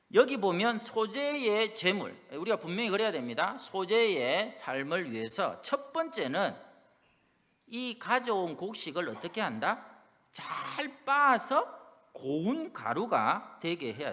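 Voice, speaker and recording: A man's raised, projected voice in a strong Busan accent, high-pitched with a bright, sharp tone, very wide pitch swings, big swings in loudness and a very slow pace. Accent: strong Busan (Gyeongsang) dialect. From South Korea, Busan. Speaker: pastor. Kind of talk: sermon.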